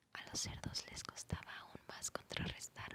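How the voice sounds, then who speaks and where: Noticeable background noise surrounds a woman who whispers at a fairly slow pace. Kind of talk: whispered ASMR audiobook reading for sleep. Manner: whispered, soft-spoken.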